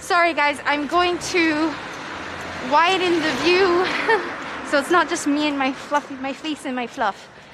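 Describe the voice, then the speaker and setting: A woman delivers her words at a moderate pace, with noticeable background noise present. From Canada. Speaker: livestreamer. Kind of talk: casual chat. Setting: outdoors.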